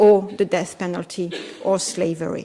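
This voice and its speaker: A woman with a French accent speaks in a monotone, flat intonation. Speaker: law professor. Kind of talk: conference talk. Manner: hesitant, with fillers.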